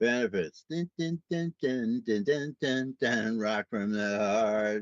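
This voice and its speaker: Speaking with an American accent, a man uses lively intonation in a dry, close sound with no echo. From New York City, Brooklyn. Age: 70s. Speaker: podcast host. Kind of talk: casual monologue. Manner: casual, rambling with fillers.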